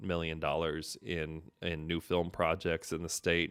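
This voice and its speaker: At a moderate pace, a man with an American accent speaks in a very clean recording over a silent background. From US Pacific Northwest, Seattle. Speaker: filmmaker and show host. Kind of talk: solo live stream commentary. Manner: casual, many fillers and restarts.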